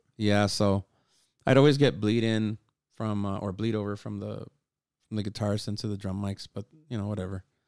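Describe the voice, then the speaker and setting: Dry and close with no echo, a man's fairly low voice moves at a fairly quick pace broken by long, frequent pauses. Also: fairly even intonation. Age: 40s. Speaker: musician and sound engineer. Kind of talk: casual chat.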